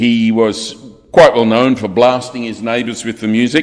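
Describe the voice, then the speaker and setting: With an Australian accent, a man is talking. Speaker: funeral celebrant. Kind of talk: eulogy. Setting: funeral service. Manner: formal.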